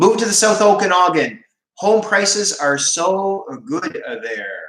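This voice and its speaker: A man with a Canadian East Coast accent. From Maritime Canada, Moncton, New Brunswick. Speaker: schoolteacher and vegan livestreamer. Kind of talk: casual livestream chat reading viewer comments.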